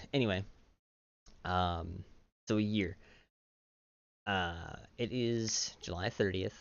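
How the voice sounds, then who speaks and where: Soft-spoken, a man with a very deep, low pitch speaks at a very slow pace with fairly even intonation and long, frequent pauses. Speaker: YouTuber. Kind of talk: personal vlog monologue. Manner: halting, many fillers.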